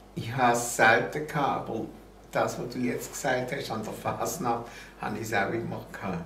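A man talks at a moderate pace with medium pitch and ordinary pitch variation. There is audible room echo and light background noise. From Basel, Switzerland. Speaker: TV and radio host, columnist. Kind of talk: interview answer. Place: home room.

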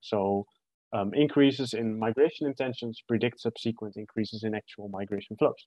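Delivered at a moderate pace with ordinary pitch variation, the speech sounds dry with no echo against a quiet background. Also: man. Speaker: presenter. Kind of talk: academic presentation. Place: home room. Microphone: webcam.

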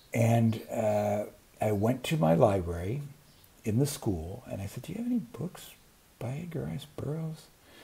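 A man with an American accent has a somewhat breathy, dark, mellow tone. His pitch swings very widely and his loudness swings a lot. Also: moderate pace. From US Pacific Northwest. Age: 60s. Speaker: booktube creator. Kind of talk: casual vlog monologue. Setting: outdoors on a patio. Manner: rambling, many fillers. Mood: enthusiastic, nostalgic. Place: home room. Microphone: earbuds.

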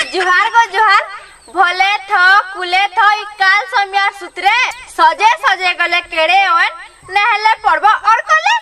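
A woman speaks in a raised, projected voice at a very slow pace. Noticeable background noise is present. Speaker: village vlogger. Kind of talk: casual conversational chat. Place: garden.

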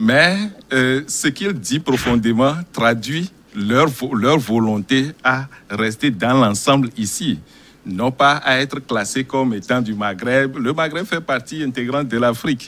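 A man talks very slowly, his pitch varying in an ordinary way. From Togo. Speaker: NGO director. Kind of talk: televised panel debate. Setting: studio. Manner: halting. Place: studio.

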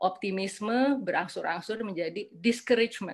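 Speaking at a fairly slow pace, a woman uses a plain, everyday voice with a fairly high pitch and lively intonation. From Indonesia. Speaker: psychiatrist and former member of parliament; panelist. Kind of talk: lecture with slides. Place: home room. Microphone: webcam.

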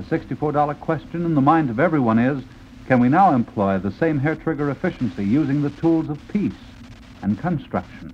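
A man's ordinary speaking voice, fairly high in pitch, with lively intonation, a fairly quick pace and light background noise. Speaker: radio announcer. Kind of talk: radio announcement. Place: studio. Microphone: old recording.

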